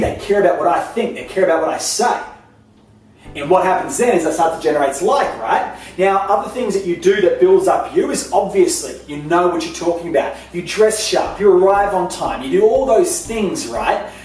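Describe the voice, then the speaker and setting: An animated man with an Australian accent, high-pitched, fairly quick and lively in intonation, amid audible room echo and noticeable background noise. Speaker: sales trainer and business owner. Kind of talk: talking-head tutorial. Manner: fast; casual, animated.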